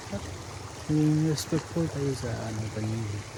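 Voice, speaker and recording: A soft-spoken man at a fairly slow pace with fairly even intonation, amid audible room echo and noticeable background noise. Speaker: vlogger. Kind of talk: casual vlog narration. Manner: halting.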